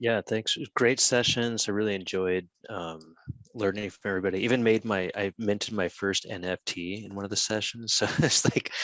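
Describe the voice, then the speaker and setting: An unremarkable speaking voice with an American accent moves at a moderate pace with fairly even intonation over a quiet background. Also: man, fairly low pitch for a man. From United States. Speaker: conference panelist. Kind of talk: panel discussion.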